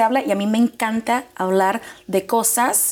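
Her pitch fairly high, a woman speaks in an animated tone. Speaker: mortgage loan officer. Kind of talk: informational interview. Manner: fast.

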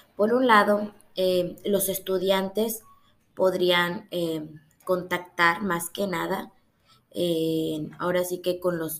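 A woman with a fairly low pitch talks at a very slow pace. Her intonation stays fairly even. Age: 20s. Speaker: university student. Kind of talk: class presentation. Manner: hesitant, many fillers.

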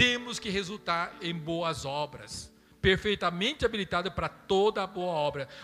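A man speaks at a fairly slow pace in a high voice with ordinary pitch variation, with music playing in the background. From Brazil. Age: 50s. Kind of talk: sermon.

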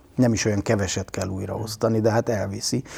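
Somewhat breathy and dark, mellow in tone, a man's fairly low voice moves at a moderate pace with fairly even intonation. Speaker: media artist and cultural professional. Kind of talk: interview.

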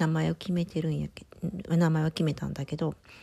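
A woman speaks with a Kansai accent. Her voice is very deep and low, with a dark, mellow tone. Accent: Kansai (Osaka) dialect. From Osaka, Japan. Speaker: pharmacist and mother, community radio presenter. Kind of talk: casual personal monologue. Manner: casual, conversational.

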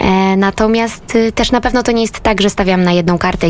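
A woman speaks with music in the background. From Lesser Poland, southern Poland (Rożnów). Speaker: singer-songwriter and musical theatre actress. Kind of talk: radio interview. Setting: radio studio.

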